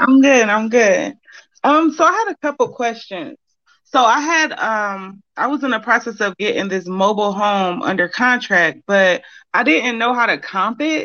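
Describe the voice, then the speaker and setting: A woman speaks in an ordinary speaking voice, fairly high-pitched, with lively intonation at a moderate pace. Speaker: caller. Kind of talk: casual chat. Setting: phone call.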